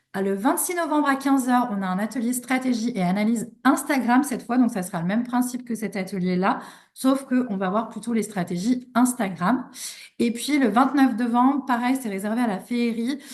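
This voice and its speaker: This woman's voice is high in pitch, with ordinary pitch variation and a moderate pace. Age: 30s. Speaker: online business coach. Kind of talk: live online workshop. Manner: hesitant, many fillers.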